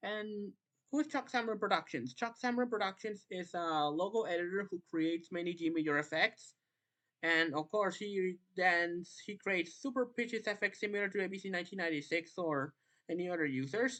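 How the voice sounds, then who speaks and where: With a non-native accent, the speaker talks at a fairly quick pace with lively intonation against a quiet background. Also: woman, medium pitch for a woman. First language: not English. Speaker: YouTuber, logo-effects community commentator. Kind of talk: commentary monologue, callout video. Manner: halting, many restarts.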